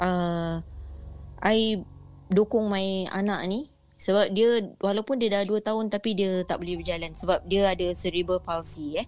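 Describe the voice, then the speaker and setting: With music in the background, a woman speaks at a fairly slow pace and shows ordinary pitch variation. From Singapore. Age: middle-aged. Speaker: caller sharing ghost stories. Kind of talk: storytelling.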